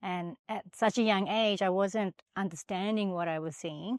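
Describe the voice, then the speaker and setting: Speaking at a moderate pace, a woman has a medium pitch and an Australian accent. The background is quiet, and the sound is dry and close with no echo. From Australia, Sydney. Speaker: finance professional. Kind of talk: podcast interview.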